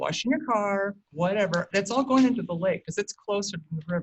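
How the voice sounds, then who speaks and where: This woman talks with an American accent and a somewhat breathy sound. Her pitch rises and falls in an ordinary way. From St. Helens, Oregon. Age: 60s. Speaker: public commenter. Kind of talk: public testimony. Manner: halting.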